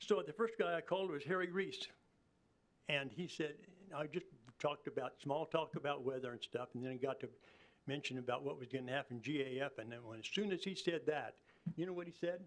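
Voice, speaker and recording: A man speaks at a fairly quick pace with a Kansas accent. He leaves long, frequent pauses. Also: fairly high pitch for a man, ordinary pitch variation. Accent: rural Midwestern US (Kansas). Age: 80s+. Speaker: farmer speaking at public hearing. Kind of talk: public comment at city commission meeting. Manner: animated.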